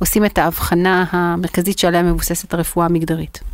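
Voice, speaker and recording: At a fairly quick pace, a woman speaks at medium pitch in a plain, everyday voice. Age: 40s. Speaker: startup founder and CEO. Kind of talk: interview.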